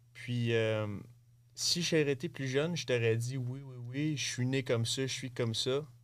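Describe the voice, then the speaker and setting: At a fairly slow pace, a man speaks in an unremarkable speaking voice of medium pitch with fairly even intonation. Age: 20s. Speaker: bull rider and coach. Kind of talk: interview. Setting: studio.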